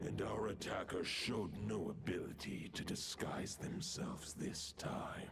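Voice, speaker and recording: A man speaks at a moderate pace in a put-on character voice, very deep and low, with hardly any pauses. Loud noise fills the background. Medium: video game. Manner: solemn, formal, archaic.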